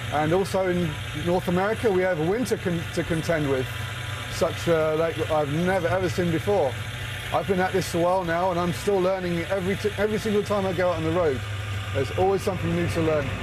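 Against noticeable background noise, a man speaks fairly quickly in a high pitch with ordinary pitch variation. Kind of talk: interview answer. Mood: relaxed, reflective. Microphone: lapel.

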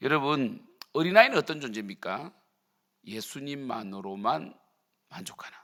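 A man with a bright, sharp tone swings very widely in pitch and leaves long, frequent pauses. The recording is very clean, with a silent background. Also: medium pitch for a man, moderate pace. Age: 50s. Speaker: pastor. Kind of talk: sermon. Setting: church.

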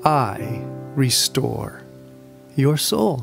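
A man talks while music plays in the background. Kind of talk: scripture reading, meditation. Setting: over background music. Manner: calm, gentle, prayerful.

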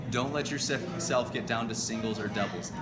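Loud background noise sits behind this recording. A man talks at a moderate pace with ordinary pitch variation. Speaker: rowing coach. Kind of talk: tutorial. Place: gym. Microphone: camera far.

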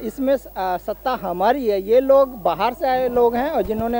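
Clear music plays behind a voice with ordinary pitch variation and a dry sound with no echo. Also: man. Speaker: interviewee. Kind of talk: street interview answer, political opinion. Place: street. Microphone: handheld.

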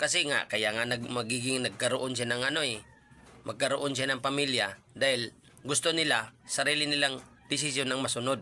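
Using a normal speaking voice, a man talks at a fairly quick pace with very even loudness and fairly even intonation. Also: medium pitch for a man. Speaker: YouTube reaction vlogger. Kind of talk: casual vlog commentary.

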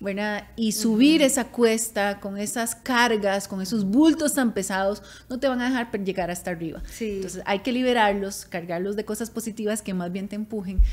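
A woman with a fairly high pitch, ordinary pitch variation and a moderate pace. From Costa Rica. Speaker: podcast co-host. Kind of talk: casual chat. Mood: warm, reflective. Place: studio. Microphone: studio mic.

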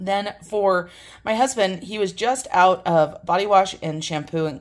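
A woman's normal speaking voice, fairly low in pitch. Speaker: home haul vlogger. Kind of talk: casual vlog chat. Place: kitchen. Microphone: phone near.

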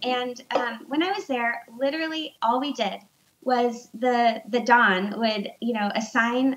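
The speaker is a woman. Her voice is high-pitched. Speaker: remote guest. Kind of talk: interview answer. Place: home room. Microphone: video call.

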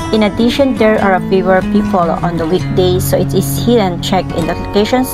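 Moderate pacing from a woman over clearly audible background music. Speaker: travel vlogger. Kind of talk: casual vlog chat and descriptive commentary. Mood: calm, appreciative. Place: waterside. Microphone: phone near.

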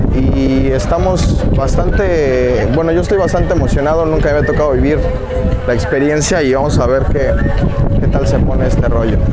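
Loud music plays in the background while a man talks at a moderate pace. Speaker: vlogger. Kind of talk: casual vlog chat. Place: beach. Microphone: phone near.

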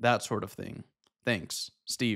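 In quiet surroundings, a man delivers his words at a moderate tempo. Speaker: photographer youtuber. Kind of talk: casual vlog chat. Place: home room. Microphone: studio mic.

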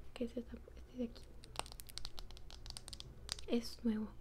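A soft-spoken woman talks at a fairly quick pace in a gentle tone. Noticeable background noise sits behind her. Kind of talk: soft personal-attention role-play talk. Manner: soft-spoken, gentle close-mic voice. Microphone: phone near.

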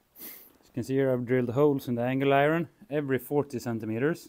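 A man talks at a moderate pace with ordinary pitch variation. Loud background noise sits behind him. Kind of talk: casual DIY tutorial. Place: workshop.

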